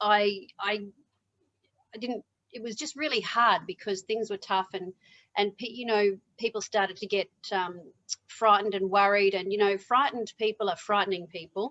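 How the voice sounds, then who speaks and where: A woman's bright, sharp voice at medium pitch, with fairly even intonation, a moderate pace and long, frequent pauses, in a dry, close sound with no echo. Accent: Australian. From Australia. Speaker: motivational speaker. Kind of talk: interview.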